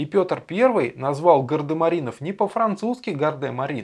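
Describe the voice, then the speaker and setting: A man uses an ordinary speaking voice, moving at a moderate pace with lively intonation. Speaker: educational video presenter. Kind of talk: scripted narration.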